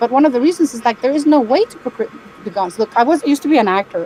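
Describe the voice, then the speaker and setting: Over noticeable background noise, a woman speaks in a high pitch with very wide pitch swings. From Spain. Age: 60s. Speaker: caller. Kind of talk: casual chat. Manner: halting.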